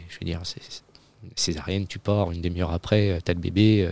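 A man talks at a very deep, low pitch with fairly even intonation. The sound is dry and close with no echo, on a very clean recording with a silent background. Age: 30s. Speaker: father, guest. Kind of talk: casual chat. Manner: halting.

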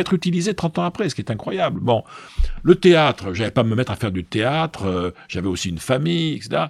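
A man talks at a fairly quick pace with very wide pitch swings. The sound is dry and close with no echo. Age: 60s. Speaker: business school professor and public speaker. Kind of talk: casual interview. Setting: office. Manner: hesitant, repeats words.

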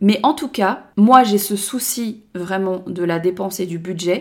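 Her pitch sits in the medium range for a woman and varies in an ordinary way. The woman speaks at a fairly slow pace. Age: 30s. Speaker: podcaster. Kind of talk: personal monologue podcast. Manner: casual, hesitant with fillers.

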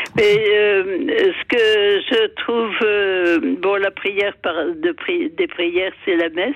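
Over noticeable background noise, a woman at a medium pitch speaks at a very slow pace with very wide pitch swings and very even loudness. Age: 80s+. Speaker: caller. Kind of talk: phone-in testimony. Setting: phone call. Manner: halting.

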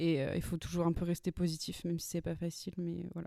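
A woman speaks in a fairly low, dark and mellow voice on a very clean recording with a silent background. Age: 20s. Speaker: screenwriter. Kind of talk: interview.

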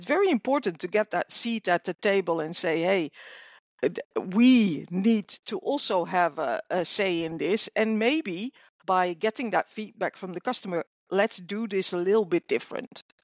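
A woman with a Dutch accent talks at a medium pitch and a moderate pace with lively intonation, in a dry, close sound with no echo against a quiet background. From Netherlands. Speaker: customer service manager. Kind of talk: interview. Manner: hesitant, many fillers.

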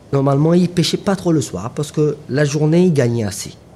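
A man with a dark, mellow tone talks at a moderate pace, his intonation lively and his voice somewhat breathy. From Mauritius, Grand Baie. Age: 30s. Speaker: fishing boat owner. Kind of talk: interview testimony. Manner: hesitant, filler-heavy.

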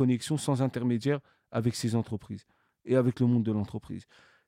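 A man speaks at a fairly quick pace and medium pitch in a dark, mellow tone. The sound is dry and close, with no echo. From Paris suburbs, France (Cergy-Pontoise). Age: 30s. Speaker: association founder, entrepreneur. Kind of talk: interview. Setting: studio.

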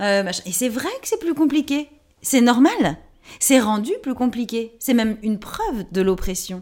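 A woman with a fairly high pitch speaks at a fairly slow pace in an animated tone with lively intonation. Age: 30s. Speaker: actress, playwright and feminist author. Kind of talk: interview.

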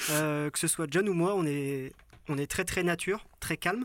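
A man in a dry, close sound with no echo. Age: 30s. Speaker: photographer. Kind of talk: casual chat. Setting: in a yurt.

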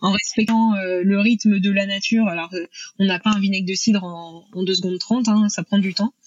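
At a moderate pace, a woman talks in a medium pitch with fairly even intonation. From Normandy, France. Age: 30s. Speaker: entrepreneur, food brand founder. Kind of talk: podcast interview. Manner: hesitant, many fillers.

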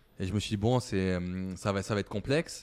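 A man speaks in an ordinary speaking voice with a fairly low pitch. The recording is very clean, with a silent background. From eastern France, Moselle mining area. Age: 30s. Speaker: startup founder. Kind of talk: interview.

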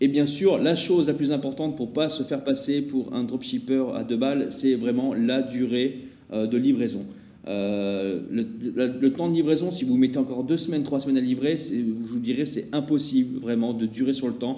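A man speaks at a moderate pace in a medium pitch, his dark, mellow tone carrying ordinary pitch variation over audible room echo. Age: 40s. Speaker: e-commerce agency CEO. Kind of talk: casual interview chat.

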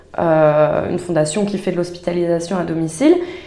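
With audible room echo around her, a woman speaks at a fairly low pitch and ordinary pitch variation. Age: 30s. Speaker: life coach. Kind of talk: casual interview chat. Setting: in person, recorded at a coaching venue.

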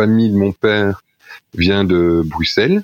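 Very deep, low pitch from a man, intonation fairly even. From Belgium, Charleroi area (Wallonia). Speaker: miller, philosophy graduate and former teacher. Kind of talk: podcast interview. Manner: hesitant, many fillers.

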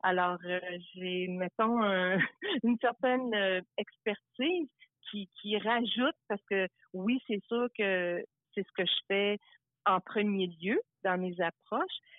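Using a medium pitch with ordinary pitch variation, a woman speaks at a very slow pace with long, frequent pauses and big swings in loudness. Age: 60s. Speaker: life coach. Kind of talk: interview.

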